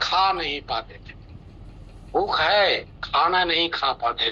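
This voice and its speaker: The man's voice has a bright, sharp tone. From India, Bihar (Nawada). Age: 60s. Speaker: retired officer giving customer testimonial. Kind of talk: testimony.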